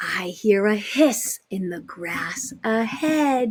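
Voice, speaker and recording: In a put-on character voice, a woman speaks very slowly, her raspy tone pitched fairly high. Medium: read story.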